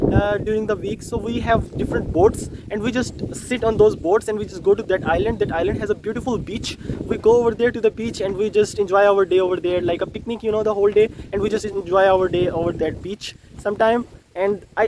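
A high-pitched man talks very fast with fairly even intonation, in a dry sound with no echo and noticeable background noise. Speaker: camp counselor vlogger. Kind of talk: casual vlog chat. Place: waterside. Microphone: phone near.

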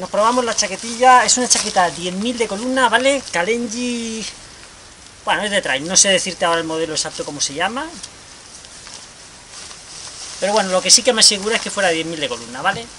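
A man speaks in a raised, projected voice over light background noise. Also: fairly quick pace. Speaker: amateur trail runner reviewing gear. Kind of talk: casual vlog chat. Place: garden. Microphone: camera far.

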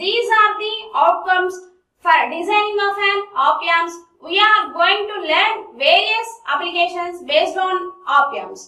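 Over a quiet background with audible room echo, the voice is raised and projected, bright and sharp in tone, at a fairly slow pace. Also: woman. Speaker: lecturer. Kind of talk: lecture. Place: classroom.

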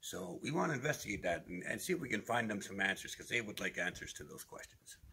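Racing at a very fast pace, a man's voice makes very wide pitch swings. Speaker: paranormal video host. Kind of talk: casual vlog chat. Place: tunnel cave. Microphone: phone near.

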